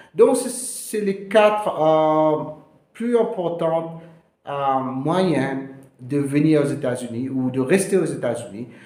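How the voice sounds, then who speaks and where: In a Mauritian accent, a man speaks with a dark, mellow tone and lively intonation, with audible room echo around him. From Mauritius. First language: Mauritian Creole (speaking French). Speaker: immigration lawyer. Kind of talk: informational video talk. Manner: halting, many hesitations.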